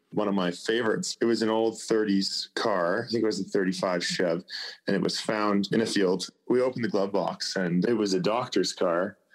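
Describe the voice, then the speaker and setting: With a Canadian accent, a man speaks fairly quickly in a normal speaking voice, keeping his intonation fairly even. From Vancouver Island, British Columbia, Canada. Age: young. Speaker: classic car hunter on TV. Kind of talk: interview.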